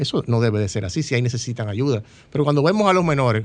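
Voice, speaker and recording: At a very fast pace, a man speaks with medium pitch and lively intonation. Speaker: candidate for congress. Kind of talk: interview.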